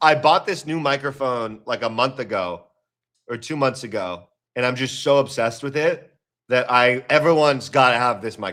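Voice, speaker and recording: A loud man with a bright, sharp tone talks at medium pitch and a moderate pace, with ordinary pitch variation. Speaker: trading streamer. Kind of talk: casual live stream chat. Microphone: new microphone.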